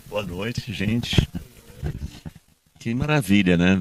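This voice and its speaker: A man talks at a fairly slow pace. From Brazil, partly raised in Colombia. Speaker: actor and theatre director. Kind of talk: panel discussion. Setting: live event with audience.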